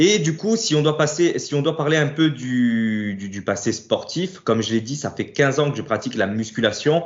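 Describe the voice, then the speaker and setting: At a moderate pace with hardly any pauses, a man with a fairly high pitch shows very wide pitch swings. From Corsica (Ajaccio), France. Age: 30s. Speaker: fitness coach and bodybuilder. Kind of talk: casual interview.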